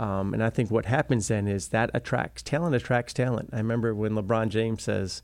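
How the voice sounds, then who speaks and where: A man with a normal speaking voice talks at a fairly low pitch. The recording is very clean, with a silent background. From Wisconsin, US Midwest. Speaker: school superintendent. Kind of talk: interview.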